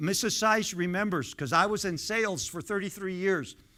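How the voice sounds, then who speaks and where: Bright and sharp in tone, the voice comes out raised and projected. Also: man. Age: 70s. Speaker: pastor. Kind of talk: sermon. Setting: church. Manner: conversational, interacts with congregation.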